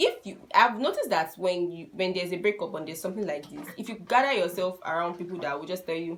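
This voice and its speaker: Very fast, with hardly any pauses and big swings in loudness, the speech comes in a Nigerian accent over noticeable background noise. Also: woman, medium pitch for a woman, ordinary pitch variation. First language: a Nigerian language (not English). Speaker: YouTuber giving relationship advice. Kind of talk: casual vlog advice talk.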